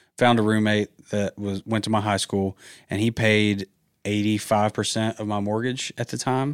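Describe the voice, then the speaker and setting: A man with a Southern US accent speaks at a moderate pace and a fairly low pitch, his intonation monotone and flat. The recording is very clean with a silent background, and the sound is dry and close with no echo. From Georgia, US South. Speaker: real estate investor and realtor. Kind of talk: casual chat.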